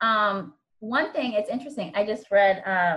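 A woman speaks in an American accent at a medium pitch and a moderate pace. She has a plain, everyday voice. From Virginia. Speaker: instructional coach. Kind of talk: casual chat.

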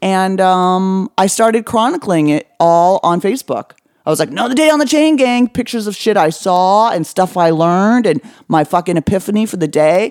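Here a woman speaks at a medium pitch and a moderate pace, with lively intonation. The sound is dry and close, with no echo. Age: 40s. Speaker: comedian and author. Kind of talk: casual chat.

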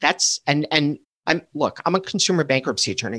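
A man with an ordinary speaking voice, fairly high in pitch, with ordinary pitch variation. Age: 50s. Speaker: student loan attorney. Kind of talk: interview conversation.

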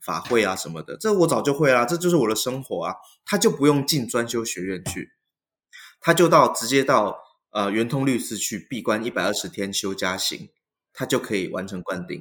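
The voice makes very wide pitch swings in a very clean recording with a silent background. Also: man, medium pitch for a man, moderate pace. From Taiwan. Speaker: Buddhist monk. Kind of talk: interview conversation.

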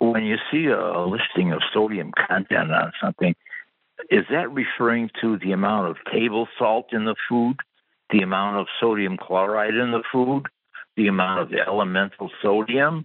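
With an unremarkable speaking voice, a man speaks at a moderate pace, his fairly low pitch showing ordinary variation. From Wisconsin. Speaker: caller. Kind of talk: phone call. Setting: phone call.

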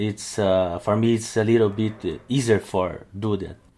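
The speaker has a Brazilian accent and talks at a fairly slow pace. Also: man. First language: Portuguese. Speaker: lettering artist and calligrapher. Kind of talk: interview, casual chat. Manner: halting, searching for words.

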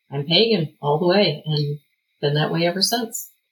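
A woman with an unremarkable speaking voice, fairly low in pitch, with ordinary pitch variation and a moderate pace. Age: 40s. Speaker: pagan group leader and military spouse. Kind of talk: interview.

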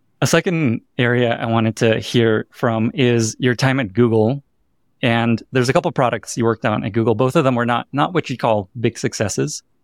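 A man with a normal speaking voice talks at a moderate pace, his medium pitch showing ordinary variation. The recording is very clean and dry, close with no echo and a silent background. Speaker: podcast host. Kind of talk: interview conversation. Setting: hotel room.

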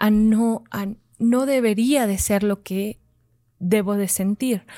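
In a very clean recording with a silent background, a woman speaks in a normal speaking voice. Her pitch is fairly high and her intonation fairly even. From Zacatecas, Mexico. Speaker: mandala artist and workshop facilitator. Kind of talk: casual interview.

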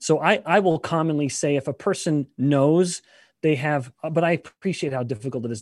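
Speaking at a moderate pace, a man with a plain, everyday voice and fairly high pitch shows ordinary pitch variation, recorded dry and close with no echo. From Canada. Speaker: scientist and professor. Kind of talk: interview.

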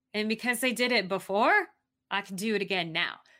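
A woman's animated, bright, sharp voice with lively intonation and an American accent, in a very clean recording with a silent background. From Arizona, US. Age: 50s. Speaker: mountain climber and author. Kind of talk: casual interview, storytelling. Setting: live-streamed recording.

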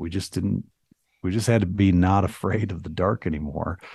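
A man speaks with an American accent at a fairly low pitch, somewhat breathy. His tone is dark and mellow, with ordinary pitch variation. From US Midwest (small town, southwest Michigan). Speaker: entrepreneur, public speaker and author. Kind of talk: casual interview chat. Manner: halting, many false starts; engaging speaker.

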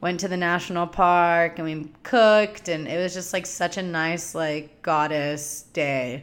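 Here a woman talks in a very deep, low pitch. Her intonation is fairly even. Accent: Californian. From US West Coast (Southern California desert). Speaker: podcast host and spiritual teacher. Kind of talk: solo monologue, casual storytelling. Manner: casual, filler-heavy with laughs.

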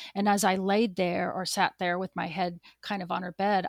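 A normal speaking voice with an American accent moves at a moderate pace and fairly even intonation, recorded dry and close with no echo, very clean, over a silent background. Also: woman. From US Pacific Northwest, eastern Washington State. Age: 50s. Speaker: ultra running coach and finance manager. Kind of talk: interview, personal testimony.

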